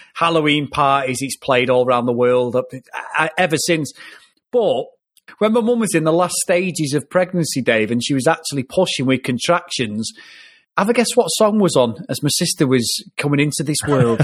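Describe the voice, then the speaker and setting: With an English accent and lively intonation, a man talks at a moderate pace in a fairly high pitch, captured on a very clean recording with a silent background. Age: 40s. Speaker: film podcast host. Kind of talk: casual chat.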